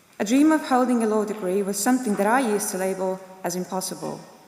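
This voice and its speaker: A woman talks at a very fast pace with a medium pitch and ordinary pitch variation. Noticeable background noise and audible room echo fill the recording. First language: not English. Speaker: graduate giving student speech. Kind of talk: ceremonial speech. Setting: graduation ceremony in a concert hall. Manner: formal.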